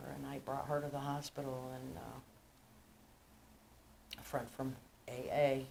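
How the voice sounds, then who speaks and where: At a fairly slow pace, a woman speaks with a very deep, low pitch and monotone, flat intonation. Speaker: recovering alcoholic. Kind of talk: recovery meeting speaker share.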